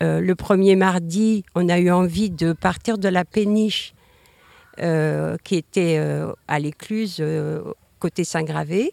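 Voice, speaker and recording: Speaking at a very slow pace with long, frequent pauses, a woman with a fairly low pitch keeps her intonation fairly even in a dry, close recording with no echo. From Brittany, Morbihan. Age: 60s. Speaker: local resident. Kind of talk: panel discussion. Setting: outdoors.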